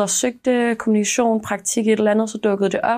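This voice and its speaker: A woman speaks at a moderate pace in a fairly high voice. The recording is very clean, with a silent background. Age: 20s. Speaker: university student intern. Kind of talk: interview testimony. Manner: hesitant, many fillers.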